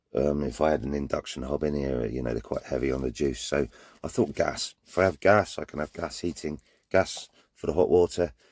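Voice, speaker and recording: With a Cornish accent, a man speaks at a fairly quick pace with vocal fry. His pitch is very deep and low, with ordinary variation. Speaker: vanlifer showing his van conversion. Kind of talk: casual vlog talk. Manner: hesitant, repeats words.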